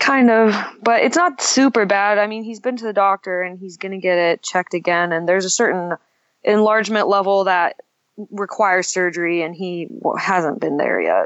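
A woman speaks in a normal speaking voice, at a moderate pace and medium pitch with ordinary pitch variation. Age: 20s. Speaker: caller. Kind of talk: call-in conversation. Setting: phone or online call.

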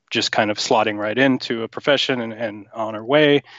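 A man's voice is heard. It lands at a medium pitch. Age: 30s. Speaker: caller. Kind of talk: call-in conversation. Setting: phone or online call. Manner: halting, many fillers.

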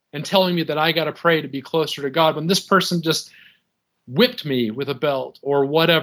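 Speaking at a fairly quick pace, a man with a plain, everyday voice has a fairly high pitch and ordinary pitch variation. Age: 30s. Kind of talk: call-in conversation.

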